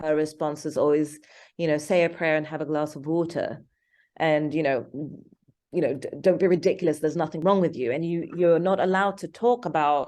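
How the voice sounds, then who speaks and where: Against a quiet background, a woman with a British accent speaks fairly quickly in a very deep, low pitch, her tone dark and mellow and her intonation fairly even. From England (London). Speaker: filmmaker. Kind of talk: interview. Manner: halting.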